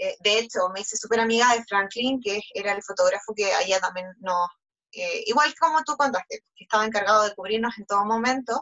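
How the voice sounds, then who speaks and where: A woman with a Chilean accent, her pitch fairly high and her pace fairly quick. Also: ordinary pitch variation. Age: 20s. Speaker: beauty pageant contestant. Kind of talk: interview.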